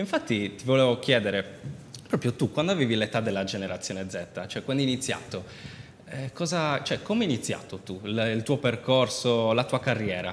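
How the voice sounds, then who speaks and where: Over light background noise, a man at medium pitch talks at a fairly quick pace with lively intonation. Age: 20s. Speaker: talk show host. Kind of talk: interview. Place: studio. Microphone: lapel.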